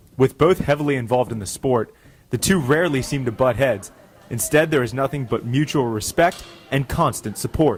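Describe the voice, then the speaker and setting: With music playing in the background, the speaker talks at a fairly quick pace in an American accent with ordinary pitch variation. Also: man, medium pitch for a man. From Pennsylvania. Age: 20s. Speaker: sports anchor/reporter. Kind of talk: sports news read.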